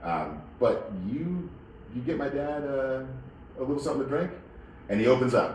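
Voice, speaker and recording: Noticeable background noise and audible room echo surround a man speaking at medium pitch. His intonation is lively, his pace moderate, with long, frequent pauses. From Northern Virginia. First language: Spanish. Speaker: wine shop owner. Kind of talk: interview. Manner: halting, many repetitions and fillers.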